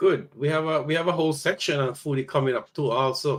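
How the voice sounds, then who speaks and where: A man talks at a moderate pace in a plain, everyday voice. His pitch is fairly high. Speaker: podcast host. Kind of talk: podcast talk.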